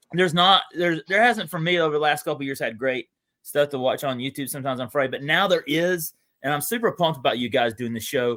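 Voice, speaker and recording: A man with a Southern US accent, fairly high-pitched, talking at a very fast pace with lively intonation. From US South, Atlanta area (Gwinnett County, Georgia). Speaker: sports card collector and YouTuber, show guest. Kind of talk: casual chat. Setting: live video stream. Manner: animated.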